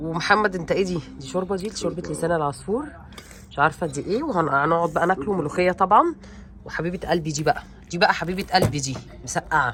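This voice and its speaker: A woman with an animated tone, a fairly low pitch and ordinary pitch variation, at a fairly quick pace over noticeable background noise. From Egypt, Alexandria. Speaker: family vlogger. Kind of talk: casual vlog chat.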